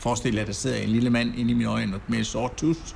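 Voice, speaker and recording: Flat and monotone, a man at medium pitch speaks at a fairly quick pace amid noticeable background noise and audible room echo. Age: 60s. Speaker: kayak instructor. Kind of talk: interview testimony.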